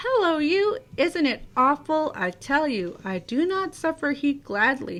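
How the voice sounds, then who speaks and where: A woman uses a put-on character voice with a high pitch. She talks fairly slowly, her pitch swinging very widely. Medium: read story. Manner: chatty, bustling.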